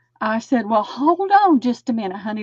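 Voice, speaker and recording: Speaking in a Southern US accent, a woman with a fairly high pitch moves at a moderate pace with lively intonation. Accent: Southern US (Georgia). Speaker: crafter on live stream. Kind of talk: casual chat.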